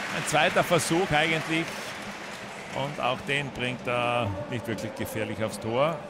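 Speech comes at a fairly slow pace with long, frequent pauses and ordinary pitch variation, while crowd noise murmurs in the background. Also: man, medium pitch for a man. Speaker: football commentator. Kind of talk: live sports commentary of a football match; German-language match broadcast, Austrian viewpoint. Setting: stadium match broadcast.

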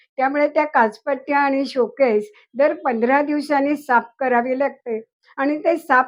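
In a quiet setting, a high-voiced woman talks with ordinary pitch variation. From Pune, Maharashtra. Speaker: Ganesh idol collector and writer. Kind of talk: home tour testimony.

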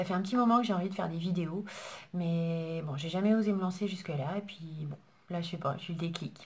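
A woman with a fairly low pitch talks at a fairly quick pace, her pitch moving in an ordinary way. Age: 40s. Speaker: beauty YouTuber. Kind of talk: casual vlog introduction. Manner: hesitant, with fillers. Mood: warm, a bit shy. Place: home room. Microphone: phone near.

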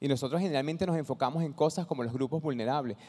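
Against a quiet background, a man with a fairly high, dark, mellow voice speaks very fast with ordinary pitch variation. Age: 50s. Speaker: social entrepreneur; conference presenter. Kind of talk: talk to an audience; conference talk. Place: hall. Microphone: handheld.

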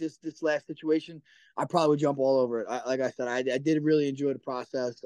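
At a very fast pace, a man speaks in a dry sound with no echo over a quiet background. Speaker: remote interview guest. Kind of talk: interview answer. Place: home room. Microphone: video call.

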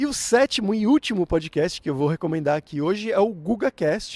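Upbeat and at a moderate pace, a man talks in a São Paulo accent with lively intonation and a dry sound with no echo. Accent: São Paulo Brazilian Portuguese. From Brazil, São Paulo. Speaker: language teacher, YouTuber. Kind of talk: tutorial. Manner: clear, measured for learners; casual, upbeat. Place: garden. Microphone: handheld.

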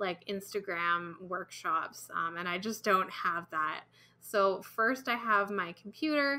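Her tone bright and sharp, a woman talks at a very slow pace with ordinary pitch variation. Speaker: comic artist. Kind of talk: tutorial. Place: home room.

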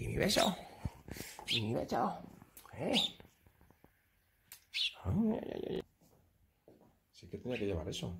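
Big pitch swings and vocal fry mark this voice. It moves at a slow pace with long, frequent pauses. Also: man.

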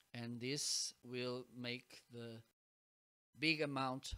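A man's bright, sharp tone. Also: quiet background. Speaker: mic reviewer. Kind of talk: product demo talk. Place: home room.

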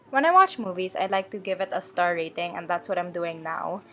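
Music plays in the background. Over it, a woman speaks with lively intonation. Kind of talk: tutorial voice-over narration.

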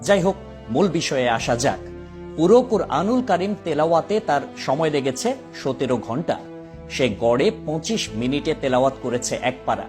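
Music plays in the background behind a man's voice. His fairly high pitch moves in very wide swings. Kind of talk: Islamic commentary narration.

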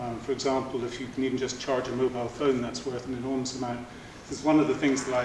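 Noticeable background noise and audible room echo around a man speaking. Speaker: speaker. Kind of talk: lecture. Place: hall. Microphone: camera far.

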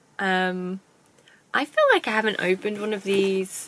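This woman's pitch is medium. She has a British accent. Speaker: YouTuber doing unboxing videos. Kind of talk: casual unboxing vlog. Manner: hesitant, with fillers.

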